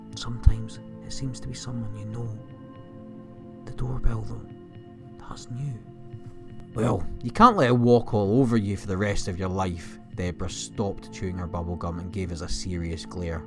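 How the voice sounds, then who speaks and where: A man's very deep, low voice with very wide pitch swings, big swings in loudness and long, frequent pauses over music in the background. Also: moderate pace. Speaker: horror story narrator. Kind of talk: horror story narration.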